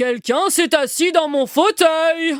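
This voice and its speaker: The speaker uses a put-on character voice, high in pitch and delivered at a fairly slow pace. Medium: read story.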